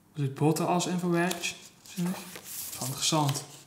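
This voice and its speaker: A man speaks at a fairly slow pace in a fairly high pitch, with audible room echo. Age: 20s. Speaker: pig and poultry farmer. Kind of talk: documentary interview. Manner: hesitant, many fillers.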